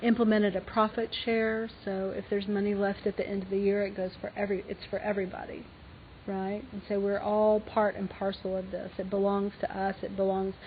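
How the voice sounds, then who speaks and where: A woman with an Alabama accent, medium-pitched, fairly quick, in a monotone, flat delivery. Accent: Southern US (Alabama). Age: 50s. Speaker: fashion designer and business owner. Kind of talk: lecture Q&A. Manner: halting.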